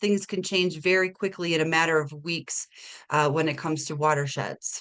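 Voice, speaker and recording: Over a quiet background, a woman with a slight Minnesota accent talks at a fairly quick pace in a bright, sharp tone. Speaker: watershed manager. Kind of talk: webinar presentation. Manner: casual with frequent fillers.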